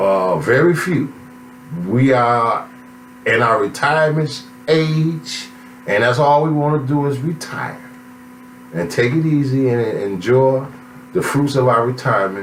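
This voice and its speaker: A man's medium-pitched voice at a fairly slow pace, with long, frequent pauses, audible room echo and noticeable background noise. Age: 60s. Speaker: author. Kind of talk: self-promotional monologue. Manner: animated.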